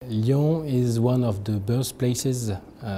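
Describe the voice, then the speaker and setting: A man speaks in a dark, mellow tone that is somewhat breathy. His intonation is fairly even, over light background noise. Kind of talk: interview answer. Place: meeting room. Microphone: lapel.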